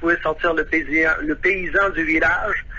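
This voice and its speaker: A man talks rather slowly while clear background noise runs underneath. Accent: Quebec. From Quebec. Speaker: saxophonist, expat interviewee. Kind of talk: radio phone interview. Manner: halting, many hesitations.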